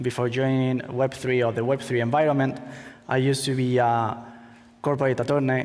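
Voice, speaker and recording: Audible room echo surrounds a man with a Spanish accent. His intonation is monotone and flat. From Spain. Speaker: crypto startup co-founder, former attorney. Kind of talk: conference talk. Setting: stage with audience. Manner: halting.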